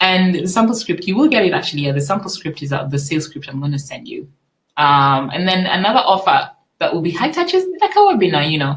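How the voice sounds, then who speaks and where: A woman with a somewhat breathy, medium-pitched voice talks at a fairly quick pace. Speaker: business coach. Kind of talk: webinar. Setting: live online webinar. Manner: fast.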